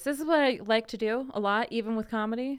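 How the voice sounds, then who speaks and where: Over a quiet background, a woman with a normal speaking voice talks at a moderate pace, her pitch fairly high with ordinary variation. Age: 30s. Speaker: comedian. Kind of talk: casual chat.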